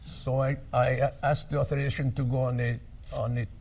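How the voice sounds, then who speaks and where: Somewhat breathy and at medium pitch, a man with a French accent speaks at a moderate pace amid audible room echo. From France. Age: 80s+. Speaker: war veteran. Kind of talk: talk to an audience. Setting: stage with audience. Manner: halting.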